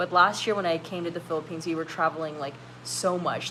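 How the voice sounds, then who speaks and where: Her pitch sits fairly low for a woman. Behind her voice, background noise is noticeable. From California, US. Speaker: YouTuber hosting a live stream. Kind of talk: casual live stream chat, reading comments. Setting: live stream. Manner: casual, many fillers.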